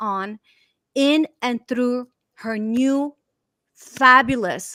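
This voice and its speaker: A woman with a Romanian accent speaks in a high pitch and a bright, sharp, animated tone, with ordinary pitch variation and a dry, close sound that has no echo. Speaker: talk show host. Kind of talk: online interview show.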